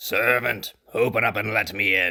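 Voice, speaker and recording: Using a raspy, put-on character voice, a man delivers his lines at a moderate speed. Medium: audio drama. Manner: commanding, forceful.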